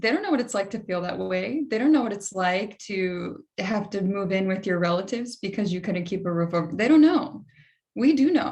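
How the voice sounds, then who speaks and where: A woman's somewhat breathy voice at a moderate pace, with lively intonation. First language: Spanish. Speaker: political candidate, panelist. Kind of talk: panel discussion. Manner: animated.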